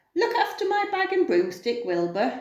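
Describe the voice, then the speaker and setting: Using a put-on character voice at an extremely high pitch, a woman speaks at a moderate pace with a slight echo. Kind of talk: classroom read-aloud for young children. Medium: read story. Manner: lively, expressive read-aloud voice.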